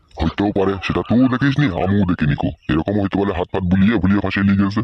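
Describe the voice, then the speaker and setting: A man puts on a cartoonish character voice, fairly low in pitch. He moves at a fairly quick pace with very even loudness. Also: ordinary pitch variation. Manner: rustic, colloquial dialect.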